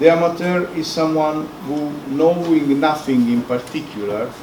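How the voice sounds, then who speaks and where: With a non-native accent, a man talks at a moderate pace and fairly high pitch with ordinary pitch variation, amid noticeable background noise and audible room echo. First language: Italian. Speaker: professor. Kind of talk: lecture.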